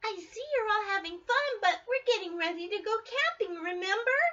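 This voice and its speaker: A female-sounding voice puts on a character voice at an extremely high pitch. The pace is moderate. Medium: read story.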